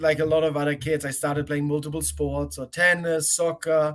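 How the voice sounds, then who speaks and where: With music in the background, a man speaks in a German accent at a moderate pace and a fairly high pitch. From Germany. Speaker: college tennis coach. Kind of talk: interview.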